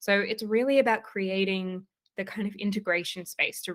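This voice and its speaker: A woman with an Australian accent at a fairly quick pace, with ordinary pitch variation. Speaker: leadership coach. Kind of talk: interview.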